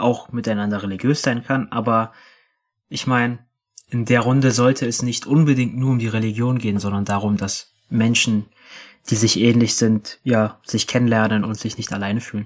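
A man at a medium pitch speaks at a moderate pace with fairly even intonation and long, frequent pauses. The recording is very clean, the background silent. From Berlin, Germany. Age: 20s. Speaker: activist. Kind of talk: interview. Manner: halting.

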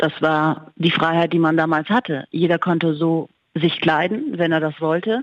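A woman speaks in a plain, everyday voice, fairly low in pitch, at a moderate pace. Her loudness stays very even and her pitch varies in an ordinary way. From Germany, Munich. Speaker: journalist. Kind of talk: interview.

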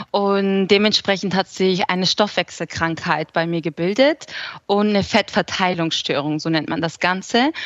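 A woman speaks at a moderate pace with an unremarkable speaking voice. Her pitch is medium, with ordinary pitch variation. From southern Germany (Aalen, Swabia). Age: 20s. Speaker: food blogger and cookbook author. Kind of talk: interview.

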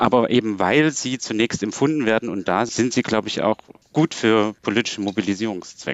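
Here a man talks at a fairly quick pace. He has medium pitch and a normal speaking voice. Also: ordinary pitch variation. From Saxony, Germany. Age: young. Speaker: philosopher and political scientist. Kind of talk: radio panel discussion.

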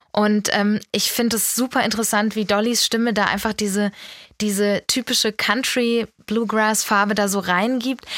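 Dry and close with no echo, a woman's unremarkable speaking voice sits at a fairly high pitch, with fairly even intonation and very even loudness. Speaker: music editor. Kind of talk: casual chat.

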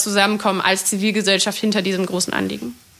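Speaking fairly quickly, a woman with a medium pitch delivers her words in a flat monotone, her tone bright and sharp with vocal fry. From Germany, Berlin. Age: 20s. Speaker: climate activist. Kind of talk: interview.

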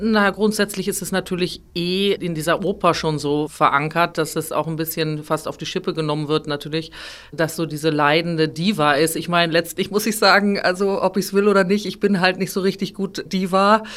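With hardly any pauses, a woman talks in an unremarkable speaking voice at a fairly low pitch and with fairly even intonation. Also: moderate pace. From northern Germany, near Hamburg. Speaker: opera singer. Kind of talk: interview.

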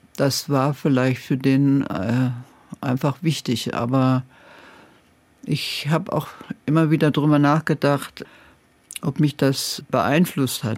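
A woman with a very deep, low pitch speaks at a very slow pace, with long, frequent pauses, fairly even intonation and very even loudness. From Germany, Saxony-Anhalt. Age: 80s+. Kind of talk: radio interview. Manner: hesitant with frequent fillers.

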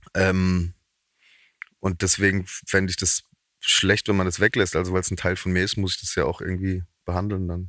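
A man with a Baden accent speaks at a moderate pace in a very deep, low voice with a bright, sharp tone and monotone, flat intonation. He leaves long, frequent pauses, and the recording is very clean and dry, close with no echo, with a silent background. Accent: dialect speaker, Baden. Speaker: comedian and musician. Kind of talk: casual interview.

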